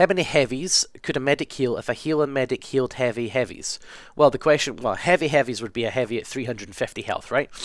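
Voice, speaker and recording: On a very clean recording with a silent background, a man talks at a very fast pace with a Scottish accent. His medium pitch shows ordinary pitch variation, and his loudness swings widely. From west coast of Scotland. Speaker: gaming video creator. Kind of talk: casual Q&A monologue. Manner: casual, hesitant with ums.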